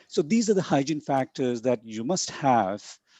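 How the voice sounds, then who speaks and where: A man with a dark, mellow tone and lively intonation speaks at a moderate pace, recorded dry and close with no echo over a quiet background. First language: not English. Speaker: conference keynote speaker on academic publishing. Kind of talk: lecture. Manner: halting with many fillers and repetitions.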